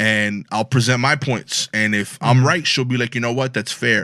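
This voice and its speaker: In a Brooklyn accent, a man with a medium pitch and a bright, sharp tone speaks at a moderate pace with fairly even intonation on a very clean recording with a silent background. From Brooklyn, New York. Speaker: comedian. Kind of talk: casual chat.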